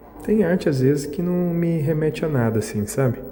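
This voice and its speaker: Soft-spoken and with very wide pitch swings, a man talks at a moderate pace over noticeable background noise. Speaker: vlogger. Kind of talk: casual vlog narration. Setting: art exhibition, indoors.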